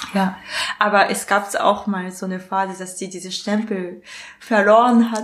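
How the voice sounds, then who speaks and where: A woman's medium-pitched, monotone, flat delivery in a Japanese accent at a moderate pace, with big swings in loudness. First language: Japanese (speaking German). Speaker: illustrator and comic artist. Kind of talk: casual interview. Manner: halting, with many fillers.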